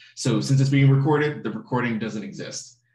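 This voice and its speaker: Against a quiet background with audible room echo, a man with vocal fry speaks fairly quickly at a medium pitch and ordinary pitch variation. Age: 30s. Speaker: online course instructor. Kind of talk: lecture. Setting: live online class recording. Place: home room. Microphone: webcam.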